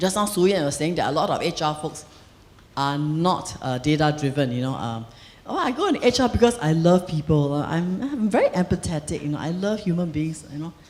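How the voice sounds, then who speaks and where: A woman speaks fairly quickly in a fairly low voice, her pitch swinging very widely. Audible room echo is present. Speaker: HR leader and conference speaker. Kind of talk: conference keynote talk. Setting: stage with audience. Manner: fast.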